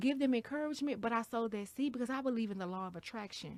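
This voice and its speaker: Lively intonation marks this woman's high-pitched voice. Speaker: podcast co-host. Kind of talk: casual chat. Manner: loud; boisterous.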